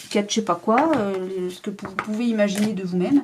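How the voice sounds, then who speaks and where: With a fairly high pitch, a woman talks at a moderate pace amid noticeable background noise. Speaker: tarot card reader. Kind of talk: tarot reading to camera.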